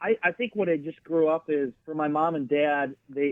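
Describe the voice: In an American accent, a man speaks at a fairly high pitch with ordinary pitch variation. The sound is dry and close, with no echo.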